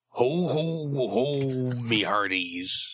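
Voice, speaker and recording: A man uses a put-on character voice at medium pitch. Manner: jolly, booming laugh.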